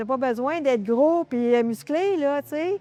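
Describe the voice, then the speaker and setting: Her pace is very slow. The woman has a Quebec accent and lively intonation. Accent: Québécois French. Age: 60s. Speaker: masters weightlifter. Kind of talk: interview. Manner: hesitant, many fillers.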